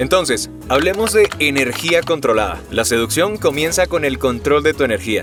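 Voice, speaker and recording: Backed by music, a man speaks at a moderate pace with very wide swings in pitch. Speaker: voice actor and dubbing director. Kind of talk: voice coaching talk to camera.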